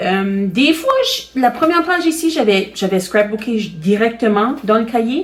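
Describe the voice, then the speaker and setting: Her voice is fairly high for a woman and swings very widely in pitch, delivered at a fairly slow pace with very even loudness and hardly any pauses. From Acadian Nova Scotia (Chéticamp, Cape Breton). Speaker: crafting video host. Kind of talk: tutorial. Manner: hesitant, many fillers.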